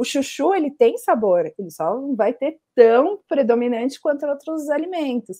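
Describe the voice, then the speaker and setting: Against a quiet background, a woman with a high pitch and a dark, mellow tone speaks at a fairly slow pace with very wide pitch swings and hardly any pauses. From Brazil. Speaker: journalist and food podcast researcher; journalist, food podcast researcher. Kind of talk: casual interview. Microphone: earbuds.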